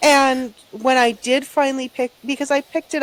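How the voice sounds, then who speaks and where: Dry and close with no echo, a woman's high voice moves at a fairly quick pace. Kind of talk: casual chat. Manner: soft-spoken.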